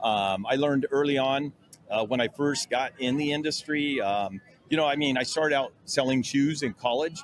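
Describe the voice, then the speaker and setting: Through noticeable background noise, a man speaks at a fairly high pitch and a moderate pace, with ordinary pitch variation and very even loudness. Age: 60s. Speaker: sanding tool company owner. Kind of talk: casual interview. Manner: hesitant, many fillers.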